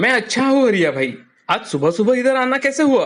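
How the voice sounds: Putting on a character voice, a man speaks at a fairly quick pace in an extremely high pitch with big pitch swings.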